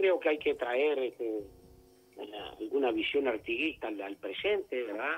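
A man speaks at a fairly slow pace with long, frequent pauses while music plays in the background. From Uruguay, Cerro Largo (interior). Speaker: politician, legislator. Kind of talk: radio interview.

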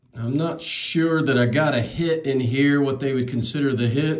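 In an American accent, a man with a fairly high pitch and ordinary pitch variation speaks at a fairly slow pace, with audible room echo. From North Carolina (Charlotte). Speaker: card collector YouTuber. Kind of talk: box break commentary. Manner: casual. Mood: relaxed, mildly amused. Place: home room. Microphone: phone near.

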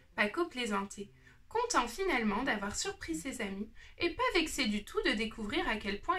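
Reading aloud, plain

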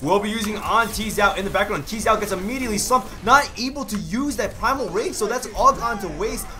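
With music in the background, a man uses a raised, projected voice at a high pitch with ordinary pitch variation, talking at a fairly quick pace with hardly any pauses. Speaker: esports caster. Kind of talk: esports match commentary. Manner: excitable, fast play-by-play with sudden exclamations.

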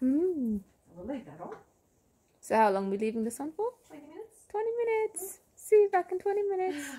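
A woman speaks at an extremely high pitch and a moderate pace, her pitch swinging very widely. Her loudness shifts a great deal, and she leaves long, frequent pauses. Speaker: cosmetics brand founder. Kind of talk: casual chat. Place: home room. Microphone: phone near.

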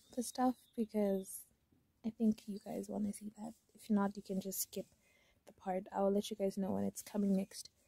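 A woman's somewhat breathy, medium-pitched voice at a moderate pace, with monotone, flat intonation. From Namibia. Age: 20s. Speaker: vlogger. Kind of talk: casual vlog talk to camera.

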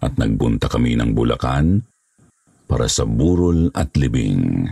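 A man with a very deep, low pitch speaks at a fairly slow pace, his pitch swinging very widely. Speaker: horror story narrator. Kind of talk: scripted narration.

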